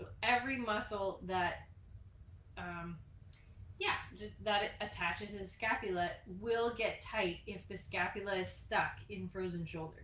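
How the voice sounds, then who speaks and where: A woman at a fairly slow pace with long, frequent pauses, big swings in loudness, and audible room echo. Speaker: fitness instructor. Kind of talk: tutorial. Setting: live stream. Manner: soft-spoken.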